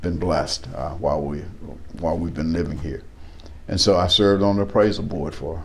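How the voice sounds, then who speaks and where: A man with an American accent and ordinary pitch variation, with audible room echo and noticeable background noise. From East Texas. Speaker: local politician. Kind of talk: interview. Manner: halting, with frequent fillers and repetitions.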